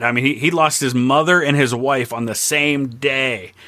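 Noticeable background noise runs beneath a man talking fairly quickly. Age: 40s. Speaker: history YouTuber. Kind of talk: casual chat.

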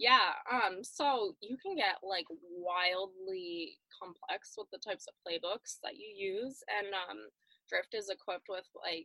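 A woman's ordinary speaking voice, medium in pitch, at a fairly slow pace. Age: 20s. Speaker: marketing manager at a marketing agency. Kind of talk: interview. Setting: video call.

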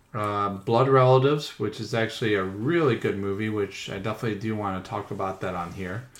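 With a normal speaking voice, a man talks at a fairly quick pace and a fairly low pitch, with ordinary pitch variation and hardly any pauses. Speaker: podcast host. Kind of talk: casual chat.

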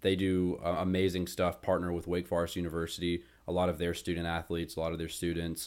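A man with an American accent speaks very fast in a very deep, low voice. The recording is very clean, with a silent background. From North Carolina (Winston-Salem). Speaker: podcast host, college student. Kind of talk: casual chat. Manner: animated.

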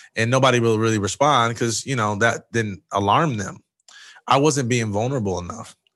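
Over a quiet background, a man talks at a fairly quick pace in a fairly low pitch with ordinary pitch variation, an unremarkable speaking voice. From Michigan, Jackson. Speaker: former college football player and speaker. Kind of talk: interview.

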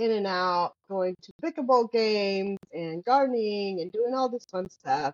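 A woman speaks with a Spanish accent and lively intonation. Her pitch is medium. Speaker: optician and podcast co-host. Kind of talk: casual chat.

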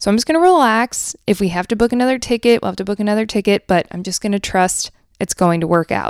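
A woman's medium-pitched voice, very fast and lively in intonation, dry and close with no echo. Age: 30s. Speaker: podcast host. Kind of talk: casual chat. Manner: animated.

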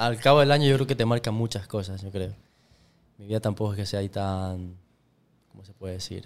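A fairly low-pitched man speaks at a fairly quick pace with ordinary pitch variation, long, frequent pauses and big swings in loudness. The recording is very clean, with a silent background. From Ecuador. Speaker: podcast guest. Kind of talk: casual chat.

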